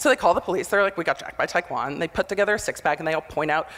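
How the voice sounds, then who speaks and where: With an animated tone and ordinary pitch variation, a woman talks at a very fast pace. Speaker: motivational speaker, former prosecutor. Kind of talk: conference talk. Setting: stage with audience. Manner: loud.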